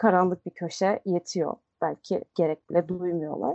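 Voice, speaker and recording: A plain, everyday voice at a moderate pace with fairly even intonation. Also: woman. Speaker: podcast co-host. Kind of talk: casual chat.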